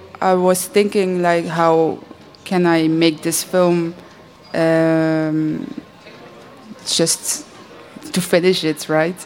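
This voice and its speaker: A woman with a Dutch accent, very slow and fairly even in intonation, with long, frequent pauses and noticeable background noise. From Belgium. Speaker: animator. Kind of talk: panel discussion.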